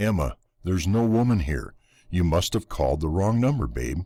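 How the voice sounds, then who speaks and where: A man's put-on character voice, very deep and low, with very wide pitch swings, on a very clean recording with a silent background. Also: moderate pace. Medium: read story.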